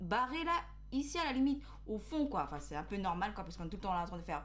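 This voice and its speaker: A woman is speaking. Audible room echo and noticeable background noise fill the recording. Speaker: beauty youtuber. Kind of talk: product review vlog. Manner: hesitant, many fillers.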